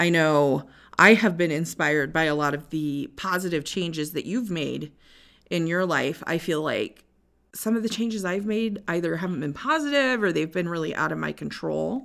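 On a very clean recording with a silent background, a woman with an American accent speaks at a moderate pace in an ordinary speaking voice, her fairly low pitch carrying lively intonation. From Northwest Iowa. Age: 30s. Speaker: podcast co-host. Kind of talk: casual chat.

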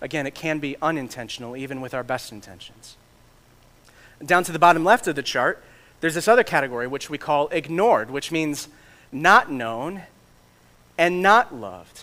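A man with an American accent talks at a moderate pace in a fairly high voice with a bright, sharp tone. His intonation is lively, his loudness swings a lot, and he pauses often and at length. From Michigan. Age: 30s. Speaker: pastor and church planter. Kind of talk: sermon.

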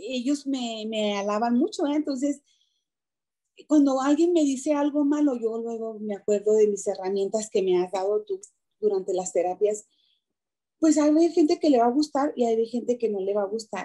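The voice has a dark, mellow tone, lively intonation and a moderate pace. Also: woman, fairly high pitch for a woman. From Mexico, Chihuahua. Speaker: entrepreneur and party clown. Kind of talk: interview.

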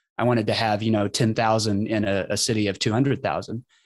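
A man with an American accent talks at a very fast pace in a very clean recording with a silent background. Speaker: writer and podcaster. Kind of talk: casual chat.

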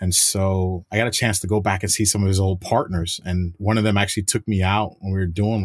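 A man with a fairly low voice and a normal speaking voice talks at a fairly quick pace on a very clean recording with a silent background. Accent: American. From New York. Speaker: federal agent. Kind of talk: interview.

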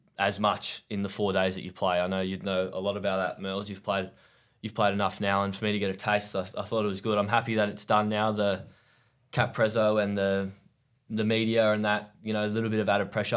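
Speaking fairly quickly with an Australian accent, a man keeps a fairly low pitch and a monotone, flat intonation. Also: very clean recording, silent background. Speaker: professional cricketer. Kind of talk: casual chat.

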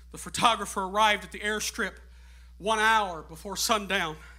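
A man with a high pitch uses a raised, projected voice and a bright, sharp tone at a fairly slow pace. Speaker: guest preacher. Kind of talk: Pentecostal sermon, climactic call-and-response exhortation to the congregation; sermon illustration, storytelling. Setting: church with congregation. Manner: preaching at full volume, voice strained and going; fervent, shouting with rising, rhythmic repetition.

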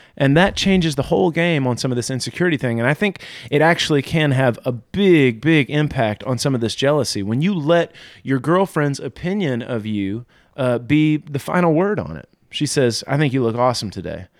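A normal speaking voice from a man, fairly high in pitch, with lively intonation at a fairly quick pace, on a very clean recording with a silent background. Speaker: pastor.

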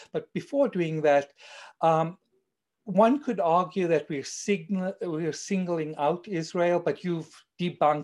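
Speaking fairly slowly in a South African accent, a man uses a high voice with ordinary pitch variation over a quiet background. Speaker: co-producer and discussion moderator. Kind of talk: panel discussion. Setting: video call. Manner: formal.

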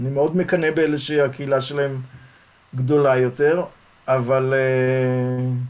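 Over noticeable background noise, a man speaks at a very slow pace in a monotone, flat intonation, with long, frequent pauses. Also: medium pitch for a man. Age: 60s. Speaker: sociology professor. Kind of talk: interview conversation.

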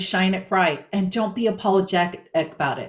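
In a normal speaking voice, a woman talks at a moderate pace with ordinary pitch variation. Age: 60s. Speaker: body language strategist, former real estate agent. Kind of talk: interview.

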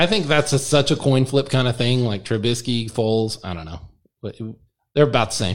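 Captured on a very clean recording with a silent background, a man at a medium pitch talks at a fairly quick pace, with ordinary pitch variation and big swings in loudness. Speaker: podcast host. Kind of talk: casual chat.

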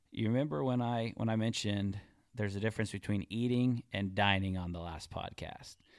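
In a very clean recording with a silent background, a man with an unremarkable speaking voice talks at a moderate pace, his fairly low pitch carrying fairly even intonation. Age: 40s. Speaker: podcast co-host. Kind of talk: casual chat.

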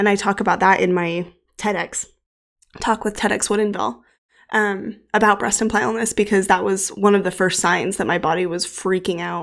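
Vocal fry runs through this woman's speech. She keeps her intonation fairly even. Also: medium pitch for a woman, moderate pace, very clean recording, silent background. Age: 30s. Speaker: podcast host. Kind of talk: solo podcast monologue.

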